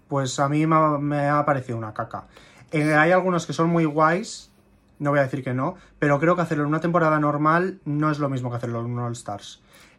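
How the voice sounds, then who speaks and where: Against a quiet background, a man talks at a fairly quick pace in a plain, everyday voice, fairly high in pitch with ordinary pitch variation. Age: 20s. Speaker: drag queen. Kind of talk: casual chat.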